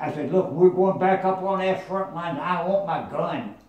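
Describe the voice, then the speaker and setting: A man with a high pitch talks at a fairly slow pace over noticeable background noise. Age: 80s+. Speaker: WW2 veteran. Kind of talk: interview answer.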